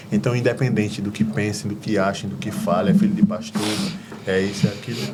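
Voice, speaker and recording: There is noticeable background noise and audible room echo. A man talks at a fairly quick pace with ordinary pitch variation. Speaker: deacon and gospel singer. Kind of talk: testimony.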